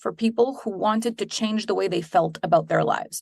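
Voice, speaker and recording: In a Quebec accent, the speaker talks at a moderate pace with ordinary pitch variation against a quiet background. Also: woman. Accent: French Canadian accent in English. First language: French. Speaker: business coach and entrepreneur. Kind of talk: interview.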